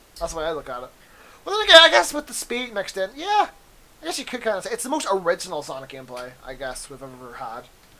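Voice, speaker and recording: Someone talks at a very fast pace in an animated tone, with noticeable background noise. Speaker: gaming youtuber. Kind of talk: casual chat.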